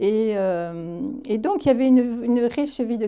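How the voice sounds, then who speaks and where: On a very clean recording with a silent background, a woman with a fairly high pitch and a dark, mellow tone speaks at a very slow pace. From southern France, Aveyron (Roquefort). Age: 70s. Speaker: interviewee recounting her life. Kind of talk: interview, life story testimony. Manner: hesitant, many fillers and repetitions.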